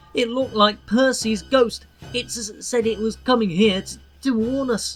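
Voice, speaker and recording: A female-sounding voice puts on a shaky character voice with fairly high pitch at a moderate pace, music playing in the background. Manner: frightened.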